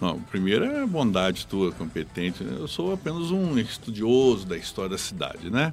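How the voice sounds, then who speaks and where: A man speaks with a fairly low pitch and very wide pitch swings. He leaves hardly any pauses. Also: moderate pace. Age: 50s. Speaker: local historian. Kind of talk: radio interview. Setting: radio studio.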